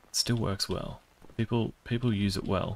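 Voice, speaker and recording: A quiet man's voice over light background noise. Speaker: gaming YouTuber. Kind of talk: let's play commentary. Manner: hushed, trying to speak quietly. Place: home room.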